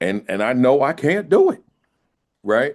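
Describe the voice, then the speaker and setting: Against a quiet background, a man with a medium pitch speaks with vocal fry. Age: 60s. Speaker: school principal and education speaker. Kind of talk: podcast interview. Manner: many repetitions and restarts; casual, conversational.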